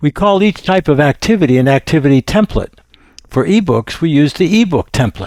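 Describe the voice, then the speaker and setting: At a moderate pace, a man talks in a normal speaking voice with a fairly high pitch and lively intonation, the sound dry and close with no echo. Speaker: software demo presenter. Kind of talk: product demo narration. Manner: formal.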